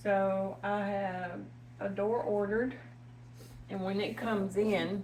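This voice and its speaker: Here a woman with a Tennessee accent speaks at a very slow pace, medium in pitch with ordinary variation and long, frequent pauses. Her voice is somewhat breathy, and there is audible room echo. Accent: Tennessee Southern. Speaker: home cooking channel host. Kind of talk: cooking tutorial. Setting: home kitchen. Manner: casual, chatty.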